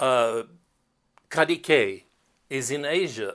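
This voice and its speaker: On a very clean track with total background silence, a man's voice comes through. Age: 60s. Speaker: tour company CEO and tour host. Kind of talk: promotional monologue. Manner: halting.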